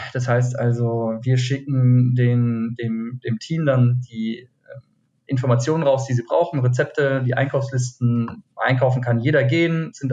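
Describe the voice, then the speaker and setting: A somewhat breathy man at medium pitch, dark and mellow in tone, fairly slow, with fairly even intonation. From Hesse, Taunus near Frankfurt. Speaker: cocktail event co-founder. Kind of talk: casual interview. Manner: hesitant, many fillers.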